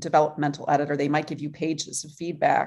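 The woman's tone is dark and mellow. She talks fairly quickly. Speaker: author and writing coach. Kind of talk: casual interview.

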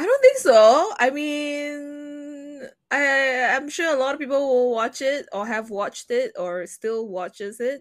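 Her pitch high and her tone animated, a woman talks at a fairly slow pace with lively intonation. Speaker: podcast host. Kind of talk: casual chat. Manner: animated, joking.

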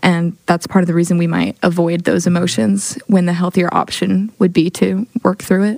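An American accent marks this woman's normal speaking voice, medium in pitch with fairly even intonation and a moderate pace. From Oklahoma City. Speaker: church ministry intern. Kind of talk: casual chat.

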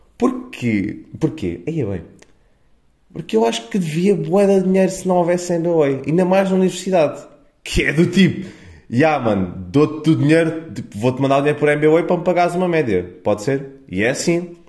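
The man's pitch sits fairly high. His intonation is lively. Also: moderate pace. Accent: European Portuguese. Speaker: podcaster. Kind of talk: casual monologue. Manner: animated.

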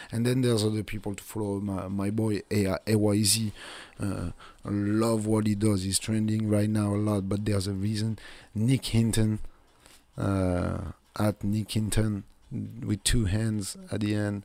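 A man's fairly low, dark, mellow voice with a French accent, fairly slow and monotone, with flat intonation. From south of France. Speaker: podcast host. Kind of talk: casual monologue.

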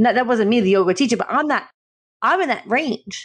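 A woman speaks in an unremarkable speaking voice. Her fairly high pitch shows ordinary variation. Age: 30s. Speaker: podcast co-host. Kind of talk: casual chat.

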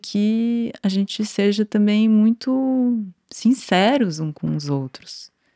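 In a São Paulo accent, a woman speaks at a medium pitch with a dark, mellow tone. The recording is very clean with a silent background and a dry, close sound with no echo. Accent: Brazilian Portuguese, São Paulo (paulistano). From Brazil, São Paulo city. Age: 40s. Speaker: dancer and choreographer. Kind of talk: casual interview chat.

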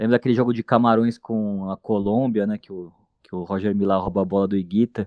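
This man has a normal speaking voice, fairly low in pitch and delivered at a fairly quick pace. His loudness swings widely while his intonation stays fairly even. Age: 30s. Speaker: football coach, journalist and punk band singer. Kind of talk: casual chat.

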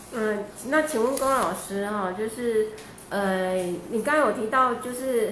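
Amid noticeable background noise and audible room echo, a woman speaks at a fairly high pitch with lively intonation. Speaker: event moderator. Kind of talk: Q&A moderation. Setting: livestream studio.

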